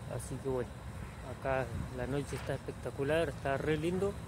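The sound is dry with no echo as a man speaks over loud background noise. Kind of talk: casual vlog chat. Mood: relaxed, upbeat. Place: open country. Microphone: phone near.

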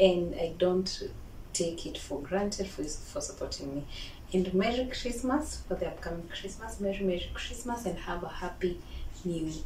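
Audible room echo and light background noise surround this recording. A woman talks at a moderate pace. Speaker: home cook vlogger. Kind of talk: casual cooking tutorial. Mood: cheerful, friendly. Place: kitchen. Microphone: camera far.

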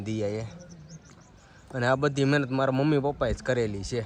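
A man of medium pitch talks with fairly even intonation in an ordinary speaking voice. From Gujarat, Saurashtra (Vavera village, Rajula area). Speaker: family vlogger. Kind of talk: casual vlog narration. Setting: outdoors, village temple and rooftop.

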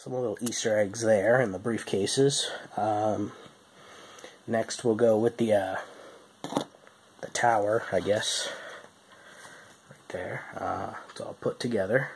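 The speaker talks at a fairly slow pace with fairly even intonation, big swings in loudness and long, frequent pauses over noticeable background noise. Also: man, medium pitch for a man. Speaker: toy reviewer. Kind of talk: product review. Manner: hesitant with fillers.

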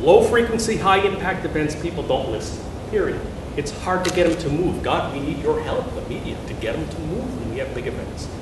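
A man's voice carries an audible room echo and noticeable background noise. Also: fairly quick pace. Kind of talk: lecture. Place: hall.

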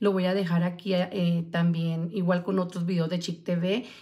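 A woman's fairly low voice at a moderate pace over a quiet background. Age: 40s. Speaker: vlogger. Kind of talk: livestream casual chat. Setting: live stream. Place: home room. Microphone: phone near.

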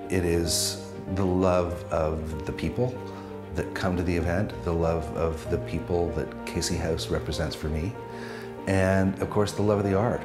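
A man speaks at a fairly slow pace. Clear music sits in the background. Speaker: auction host. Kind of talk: charity auction host opening. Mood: warm, heartfelt. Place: studio. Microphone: lapel.

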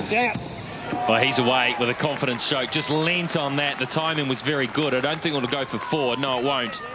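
A man talks at a fairly quick pace with a fairly high pitch and ordinary pitch variation. His loudness stays very even over noticeable background noise. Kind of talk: live commentary.

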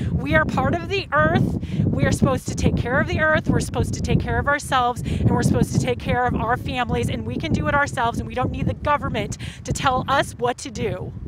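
Over loud background noise, a woman speaks very fast in a dry sound with no echo. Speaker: protester. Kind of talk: impromptu opinion statement; interview answer. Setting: outdoors at a protest. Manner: impassioned, fluent. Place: street. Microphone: lapel.

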